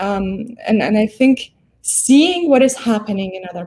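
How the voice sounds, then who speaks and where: A woman with a non-native accent talks fairly slowly at a fairly high pitch. Her voice is somewhat breathy, with lively intonation. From abroad, moved to US at 13. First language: not English. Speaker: law professor. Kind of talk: interview conversation. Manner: hesitant, many fillers.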